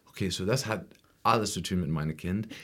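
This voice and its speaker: Pitch varies in an ordinary way here. The man talks with an English accent. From US Midwest, rural Ohio (Appalachian foothills). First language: English (speaking German). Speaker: musician and music teacher. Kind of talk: interview. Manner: halting, non-fluent German with English fillers.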